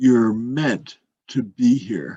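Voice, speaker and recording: Speaking very slowly in a put-on character voice, a man keeps to a medium pitch. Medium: read story.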